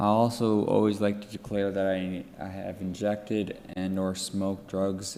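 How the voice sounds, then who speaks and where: The voice has a dark, mellow tone and an East Coast Canadian accent, delivered in a monotone, flat way. Room echo is audible. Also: man. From Atlantic Canada. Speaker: drug user activist. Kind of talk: conference presentation. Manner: halting, many fillers and restarts.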